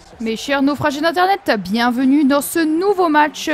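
A woman's high voice moves with lively intonation while noticeable background noise carries on behind her. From France, Nancy (Lorraine). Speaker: gaming youtuber. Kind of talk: gameplay commentary. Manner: animated.

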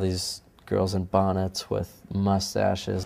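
A soft-spoken man's very deep, low voice, dark and mellow in tone, with monotone, flat intonation. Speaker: musician. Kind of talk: interview answer.

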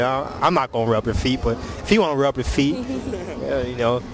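A man's very fast speech, dry with no echo, over noticeable background noise. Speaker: street interviewer. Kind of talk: casual street interview questions. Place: street. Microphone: phone near.

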